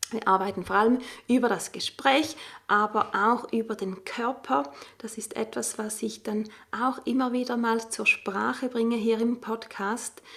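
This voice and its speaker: At a fairly slow pace, a woman speaks in an ordinary speaking voice with a fairly high pitch and ordinary pitch variation, captured on a very clean recording with a silent background. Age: 40s. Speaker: stress coach and podcast host. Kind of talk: solo podcast monologue.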